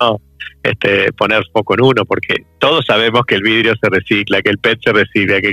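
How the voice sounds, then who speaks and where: Medium-pitched male voice with an Argentine accent, fairly even intonation and a moderate pace, music playing in the background. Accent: Argentine Spanish (Rioplatense). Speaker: corporate sustainability manager. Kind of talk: interview.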